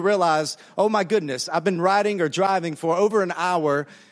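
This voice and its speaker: Speaking in a Southern US accent, a man talks at a fairly quick pace in a high pitch and an animated tone over noticeable background noise. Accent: Southern American. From US South, Alabama. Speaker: pastor. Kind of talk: sermon. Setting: church with audience, interpreted.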